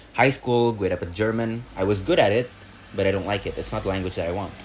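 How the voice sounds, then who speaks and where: Speaking with an Indonesian accent, a man keeps his intonation fairly even. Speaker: student. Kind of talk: casual chat. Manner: code-switching English and Indonesian.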